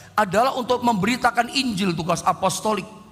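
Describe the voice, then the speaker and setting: A man talks while background noise is clearly audible. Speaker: pastor. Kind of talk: sermon. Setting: online livestream.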